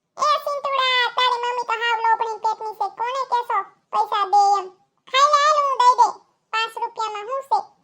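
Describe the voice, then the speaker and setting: A woman puts on a cartoonish character voice that is squeaky and extremely high in pitch. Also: moderate pace. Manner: loud, bickering.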